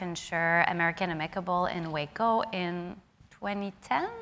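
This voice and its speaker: A woman speaks with a French Canadian accent at a moderate pace. Her medium-pitched voice has a bright, sharp tone. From Quebec, Canada. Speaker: insurance investment director, panelist. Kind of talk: conference panel discussion. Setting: stage with audience.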